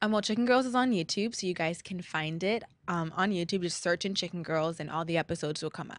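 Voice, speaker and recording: Over a quiet background, a woman with a Californian accent speaks at a very fast pace with hardly any pauses, her fairly low voice showing ordinary pitch variation. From La Habra, California. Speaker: singer and actress, guest co-host. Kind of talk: casual interview.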